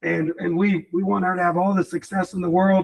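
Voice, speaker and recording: A loud man's voice at a high pitch. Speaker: real estate team leader. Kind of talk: team meeting talk. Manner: animated.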